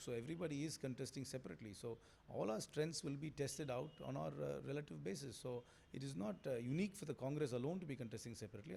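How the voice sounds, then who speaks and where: A man speaks at a very fast pace with lively intonation. His fairly high voice has vocal fry. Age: 40s. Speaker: politician, election candidate. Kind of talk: interview answer. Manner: confident.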